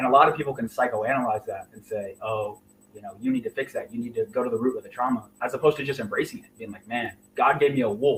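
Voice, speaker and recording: Talking at a very fast pace, a man with a somewhat breathy voice keeps medium pitch and fairly even intonation amid big swings in loudness. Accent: American. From Indiana. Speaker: real estate investor. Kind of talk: interview.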